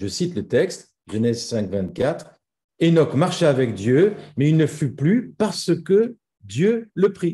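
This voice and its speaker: A man's dark, mellow voice with vocal fry, very slow and full of very wide pitch swings. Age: 60s. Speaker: pastor. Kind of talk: sermon.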